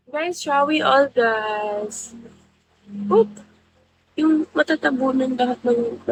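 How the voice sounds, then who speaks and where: At a high pitch with ordinary pitch variation, a woman speaks very slowly with long, frequent pauses, the sound dry and close with no echo. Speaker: live streamer. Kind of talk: casual chat.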